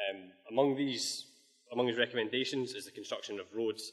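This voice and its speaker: A man's intonation stays fairly even, and the background is quiet. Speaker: presenter. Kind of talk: lecture. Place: hall.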